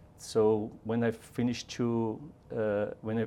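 A man talks with a Brazilian accent. His voice has a dark, mellow tone and a fairly low pitch. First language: Portuguese. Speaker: robotics engineer. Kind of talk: casual interview.

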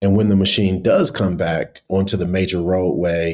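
Here a man with an American accent speaks at a moderate pace. His very deep, low pitch carries a dark, mellow tone. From US Midwest, east side of Cleveland, Ohio. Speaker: tech company founder and CEO. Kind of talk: interview. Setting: remote call.

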